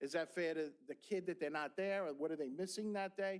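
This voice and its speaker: A high-voiced man with a New York accent at a fairly quick pace. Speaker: school board member, former teacher. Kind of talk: board meeting discussion. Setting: public board meeting room. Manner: animated, with repeated words and false starts.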